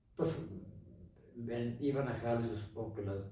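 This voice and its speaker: A man at medium pitch with fairly even intonation, audible room echo and noticeable background noise. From Mexico, Los Altos de Jalisco (Jalostotitlán). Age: 70s. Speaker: broadcaster, actor, writer and painter. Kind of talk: interview. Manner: halting.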